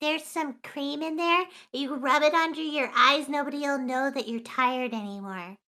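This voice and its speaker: In a very clean recording with a silent background, the speaker uses a put-on character voice. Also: woman, high pitch for a woman, moderate pace. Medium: actual play. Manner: enthusiastic, chatty.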